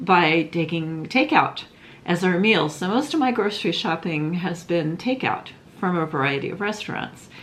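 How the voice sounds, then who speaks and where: Over noticeable background noise, a woman with a fairly low pitch speaks at a moderate pace with lively intonation. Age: 60s. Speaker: craft vlogger. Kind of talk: casual vlog monologue. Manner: rambling, hesitant with many fillers.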